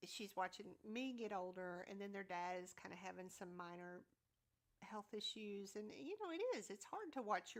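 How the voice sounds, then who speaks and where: At a moderate pace, a woman speaks with a Southern US accent at a medium pitch. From US South. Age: 50s. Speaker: YouTube content creator. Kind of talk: casual chat. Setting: livestream. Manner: loud.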